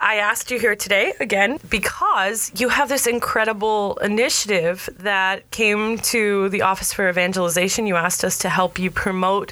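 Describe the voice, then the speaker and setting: An American accent at a moderate pace, over noticeable background noise. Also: woman. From New Jersey, US. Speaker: podcast host. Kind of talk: interview conversation; scripted intro.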